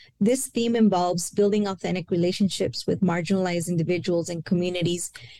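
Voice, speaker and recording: In a Spanish accent, a woman speaks at medium pitch with ordinary pitch variation and a fairly quick pace. Her tone is dark and mellow, and the sound is dry and close with no echo. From El Paso, Texas. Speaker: university senior director. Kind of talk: interview on a podcast.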